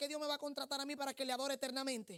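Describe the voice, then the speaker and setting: A woman speaks in a high voice with fairly even intonation. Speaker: prophet and preacher. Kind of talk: sermon.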